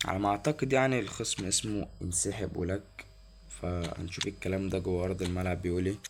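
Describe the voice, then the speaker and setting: A man speaks quietly with an Egyptian accent. His very deep, low voice has ordinary pitch variation. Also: moderate pace. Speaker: gaming YouTuber. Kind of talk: gameplay commentary. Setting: at home, recording gameplay. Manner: quiet, lowered voice; animated.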